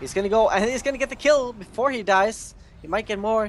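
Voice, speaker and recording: Noticeable noise sits in the background. The delivery keeps a moderate pace. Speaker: esports caster. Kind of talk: live commentary. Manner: loud; animated.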